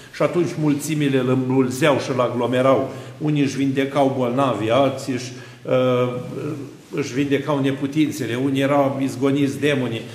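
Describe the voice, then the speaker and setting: In a room with audible echo, a man speaks at a moderate pace in a monotone, flat intonation. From Romania. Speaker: Orthodox priest. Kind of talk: sermon. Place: church.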